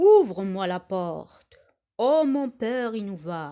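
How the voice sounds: In a very clean recording with a silent background, a gruff, put-on character voice speaks at a middle pitch. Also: fairly slow pace.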